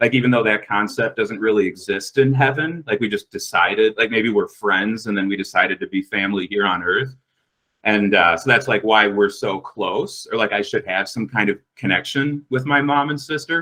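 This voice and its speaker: In an American accent, a man speaks at a moderate pace with a medium pitch and ordinary pitch variation. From US Midwest, Minnesota. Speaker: podcast guest telling a personal story. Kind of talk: casual storytelling. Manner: loud.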